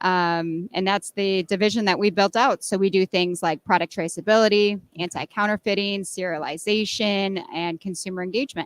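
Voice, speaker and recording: A woman with an American accent and a plain, everyday voice speaks at a moderate pace and medium pitch, with ordinary pitch variation and hardly any pauses. The recording is very clean with a silent background and a dry, close sound with no echo. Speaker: software product strategist. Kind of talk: interview. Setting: exhibition floor.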